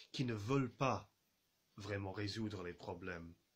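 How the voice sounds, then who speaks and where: Speaking at a very slow pace, a man talks with an English accent. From England. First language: English (speaking French). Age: 30s. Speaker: journalist and radio producer. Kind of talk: video message to viewers. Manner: halting, many fillers and repetitions.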